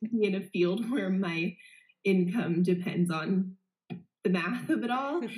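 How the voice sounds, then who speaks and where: A somewhat breathy woman with an American accent, medium pitch, ordinary pitch variation, very even loudness and long, frequent pauses. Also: fairly slow pace. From Las Vegas, Nevada, US. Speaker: guest, young professional. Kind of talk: casual chat.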